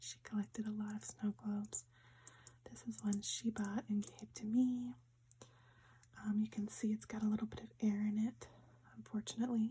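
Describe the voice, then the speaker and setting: Someone whispers at a moderate pace. There are long, frequent pauses throughout. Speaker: ASMR creator. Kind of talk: ASMR show and tell. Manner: whispered.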